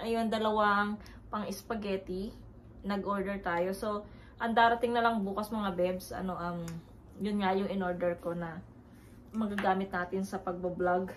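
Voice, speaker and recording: The delivery is monotone and flat at a fairly slow pace. Noticeable background noise runs underneath. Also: woman, medium pitch for a woman. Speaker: family vlogger. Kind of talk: casual vlog talk. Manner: halting, many fillers.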